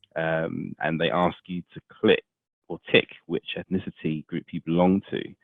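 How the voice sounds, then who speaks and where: A man with a British accent, very deep and low in pitch, with big swings in loudness and fairly even intonation. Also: fairly slow pace. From England. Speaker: podcast host. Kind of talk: interview. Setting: podcast.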